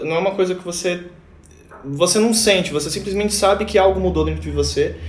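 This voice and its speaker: High-pitched male speech with ordinary pitch variation, audible room echo and noticeable background noise. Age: 20s. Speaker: band guitarist. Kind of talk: casual chat.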